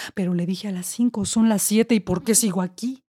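A woman uses a theatrical, dramatic delivery in a dark, mellow tone, on a very clean recording with a silent background and a dry, close sound with no echo. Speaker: poet and actress. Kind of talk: performed spoken-word poem. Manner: wry, theatrical, dramatic with mock-tragic irony.

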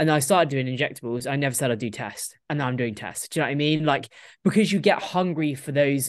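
Against a quiet background, a woman with a British accent speaks in a very deep, low voice. She goes at a very fast pace with ordinary pitch variation. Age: 20s. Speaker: professional bodybuilder. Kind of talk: casual chat.

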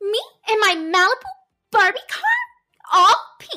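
A woman puts on a bubbly, squeaky character voice with an extremely high pitch. She delivers it at a fairly slow pace.

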